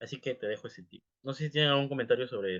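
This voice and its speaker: Here a man speaks with a fairly high pitch. His pace is very fast. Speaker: English teacher. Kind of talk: live class talk. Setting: livestream.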